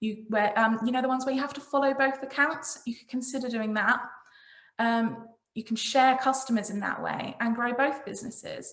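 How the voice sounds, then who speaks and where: With big swings in loudness, a woman speaks at a high pitch while her intonation stays fairly even. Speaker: marketing consultant. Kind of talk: presentation. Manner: fast.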